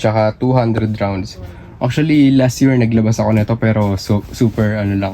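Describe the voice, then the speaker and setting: A man with a fairly low voice talks at a moderate pace and fairly even intonation as noticeable background noise plays. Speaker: fireworks seller and YouTuber. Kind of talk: product showcase vlog. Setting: warehouse. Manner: halting, short of breath.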